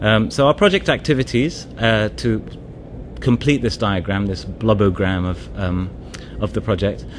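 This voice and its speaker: A man speaks at a fairly low pitch with lively intonation. Noticeable background noise sits behind him. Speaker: development NGO advisor. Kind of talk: conference presentation. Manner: fast; hesitant, many fillers.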